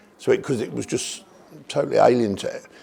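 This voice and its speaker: A man speaks with a Birmingham accent. His pace is very fast. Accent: Birmingham (Brummie) English. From English Midlands, Birmingham. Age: 60s. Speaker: cancer patient. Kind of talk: testimony. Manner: halting.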